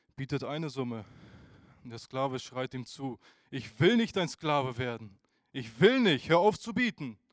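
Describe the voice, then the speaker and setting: The delivery is animated and dramatic, with lively intonation and big swings in loudness. The pace is moderate, broken by long, frequent pauses. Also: man. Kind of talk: sermon with a storytelling parable. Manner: animated, earnest preacher's delivery with rhetorical questions and dramatic emphasis; conversational and direct, addressing the congregation.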